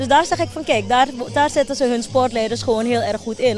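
Faint music plays behind a woman speaking at a fairly high pitch in a dry sound with no echo. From Suriname, Wanica district; Suriname. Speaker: foundation director. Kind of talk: TV news interview. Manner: halting, with many fillers. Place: open country. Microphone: handheld.

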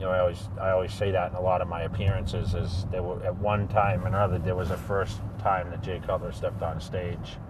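Loud background noise sits under a man speaking at a moderate pace with ordinary pitch variation. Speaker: event host. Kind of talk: interview answer. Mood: relaxed, upbeat. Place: car.

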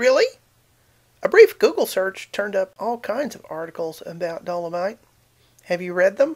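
Against a quiet background, a woman with a southern Appalachian accent talks at medium pitch with lively intonation, big swings in loudness, and long, frequent pauses. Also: moderate pace. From southern Appalachia, US. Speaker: video blogger. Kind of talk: casual talk to camera, science commentary. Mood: wry, sarcastic. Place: home room. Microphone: webcam.

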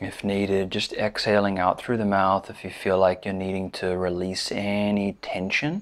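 Soft-spoken and calm, with a gentle tone, a man talks at a fairly low pitch in a monotone, flat intonation, with hardly any pauses. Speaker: meditation teacher. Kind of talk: guided body scan meditation, slow step-by-step cues through the body. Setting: seated in a chair, recorded video. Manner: calm, gentle, soothing cadence with soft repeated invitations like 'just'; hesitant filler-laden intro with frequent 'um'. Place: home room.

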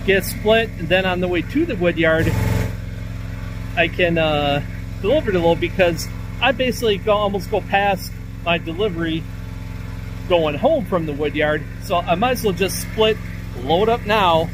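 Delivery moves at a moderate pace with long, frequent pauses. The sound is dry with no echo, and background noise is noticeable. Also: man. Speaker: firewood seller. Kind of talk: casual vlog chat. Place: open country. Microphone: phone near.

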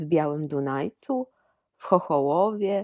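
A woman's voice sits at a very deep, low pitch. Her intonation is lively. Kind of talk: storytelling in highland dialect, read-aloud folk tale. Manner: old mountain storyteller voice, slow, animated, dialect-coloured.

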